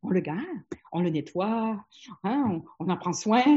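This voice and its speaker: A woman's voice sits at medium pitch but takes very wide pitch swings. It sounds somewhat breathy. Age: 60s. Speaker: family physician. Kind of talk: webinar presentation.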